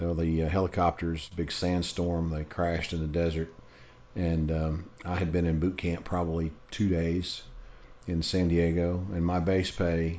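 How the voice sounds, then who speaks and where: With a Southern US accent, a man speaks at a very deep, low pitch. His pace is fairly slow and his intonation monotone and flat. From US South. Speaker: podcast co-host. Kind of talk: casual chat.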